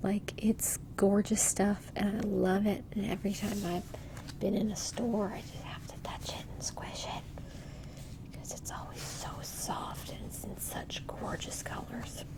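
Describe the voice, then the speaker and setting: Whispering at a fairly slow pace, a woman swings widely in loudness over noticeable background noise. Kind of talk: ASMR chat while going through yarn stash. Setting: home recording with a little echo. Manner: soft-spoken, whispered.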